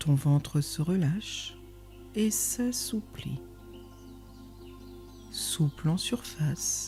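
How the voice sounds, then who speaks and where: A woman speaks very slowly in a calm tone. Music plays in the background. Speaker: meditation guide. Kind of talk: guided meditation. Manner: slow, calm.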